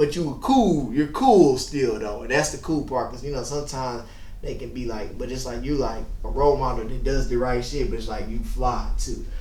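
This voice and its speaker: Amid noticeable background noise and audible room echo, a man speaks at a moderate pace with hardly any pauses. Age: 30s. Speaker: DJ and interview host. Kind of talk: casual interview. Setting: studio.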